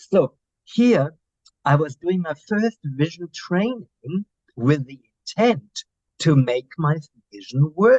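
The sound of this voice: Slow speech with a German accent, a slightly mellow tone, lively intonation and a dry, close sound with no echo. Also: man, fairly high pitch for a man.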